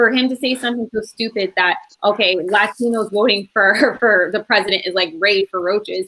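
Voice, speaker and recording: With an American accent, a woman speaks at a fairly quick pace in a bright, sharp, animated tone. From Connecticut. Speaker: panelist. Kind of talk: heated debate.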